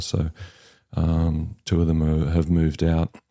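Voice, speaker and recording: With a New Zealand accent, a man speaks at a very deep, low pitch in a dark, mellow tone at a fairly slow pace, in a very clean recording with a silent background. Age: 60s. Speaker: home buyer sharing his story. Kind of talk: podcast interview. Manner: hesitant, many fillers.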